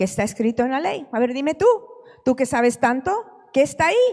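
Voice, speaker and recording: A woman speaks with lively intonation. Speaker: preacher. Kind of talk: sermon.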